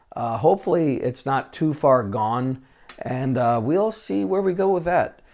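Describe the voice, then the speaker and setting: A man's fairly high voice, fairly slow pace and very wide pitch swings. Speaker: vintage tech YouTuber. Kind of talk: casual show-and-tell vlog. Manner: many filler words (uh, um).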